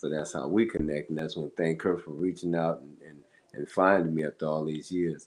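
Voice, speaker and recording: A man with an American accent and a very deep, low pitch talks at a fairly quick pace. His intonation is fairly even, but his loudness swings widely. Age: 60s. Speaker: musician. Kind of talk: interview.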